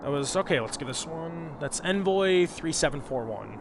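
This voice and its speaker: A man talks at a fairly slow pace in a high pitch. His intonation is lively, and there is noticeable background noise. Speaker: gaming video creator. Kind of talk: gameplay commentary. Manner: casual.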